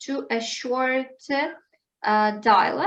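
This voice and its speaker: A woman speaks with a Ukrainian accent. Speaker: English teacher. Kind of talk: online language lesson. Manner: halting.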